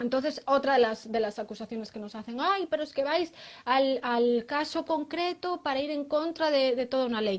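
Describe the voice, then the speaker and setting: A woman's high-pitched voice in a very clean recording with a silent background. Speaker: lawyer. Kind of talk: interview. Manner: hesitant, many fillers.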